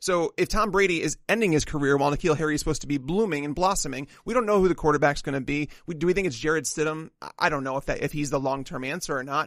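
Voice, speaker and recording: A man's fairly high voice at a very fast pace, hardly any pauses and ordinary pitch variation. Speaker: fantasy football analyst co-host. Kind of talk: casual banter and draft analysis.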